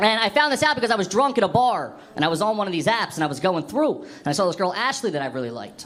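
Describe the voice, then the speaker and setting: A man's high-pitched voice with very wide pitch swings, very fast pace, and audible room echo. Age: 20s. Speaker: stand-up comedian. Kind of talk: stand-up. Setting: stage with audience.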